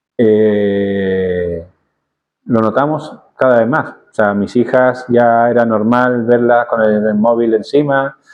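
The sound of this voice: A medium-pitched man's voice with ordinary pitch variation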